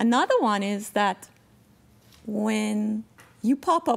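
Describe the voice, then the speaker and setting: A woman talks at a fairly slow pace. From Jamaica. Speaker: blind storyteller. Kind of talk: interview. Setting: stage with audience. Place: hall. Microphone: podium.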